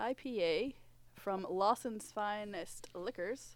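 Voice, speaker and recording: This woman has an unremarkable speaking voice at a medium pitch. Her pitch varies in an ordinary way. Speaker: podcast host. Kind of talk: casual chat.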